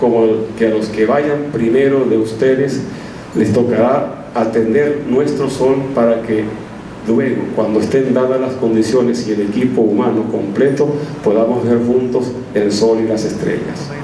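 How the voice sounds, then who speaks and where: Amid noticeable background noise and audible room echo, a man speaks at a fairly slow pace and medium pitch, his loudness very even and his intonation fairly even. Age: 50s. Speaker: missionary. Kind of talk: sermon.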